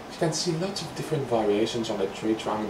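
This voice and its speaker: Over noticeable background noise and with audible room echo, a man speaks with ordinary pitch variation. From Greece. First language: Greek. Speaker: painting instructor. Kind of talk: tutorial. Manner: casual, relaxed.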